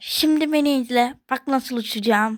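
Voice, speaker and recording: A female-sounding voice does a put-on character at a high pitch, moving at a moderate pace. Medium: read story.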